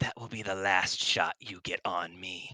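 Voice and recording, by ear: A man's raspy, put-on character voice at a moderate pace.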